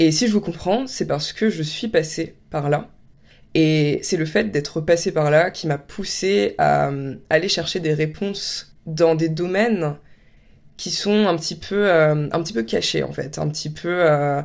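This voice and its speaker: Recorded very cleanly with a silent background, a woman with a fairly low pitch speaks at a very slow pace with ordinary pitch variation. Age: 20s. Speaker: podcaster. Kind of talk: solo monologue podcast. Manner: casual, hesitant with fillers.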